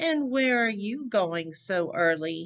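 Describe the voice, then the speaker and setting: A female-sounding put-on character voice speaks at a fairly high pitch. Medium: read story. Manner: sly, wheedling.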